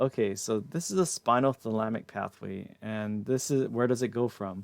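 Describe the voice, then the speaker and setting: A man speaks at a moderate pace and medium pitch, with ordinary pitch variation and an ordinary speaking voice. The recording is very clean, with a silent background. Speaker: anatomy and physiology instructor. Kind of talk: lecture. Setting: live stream with chat.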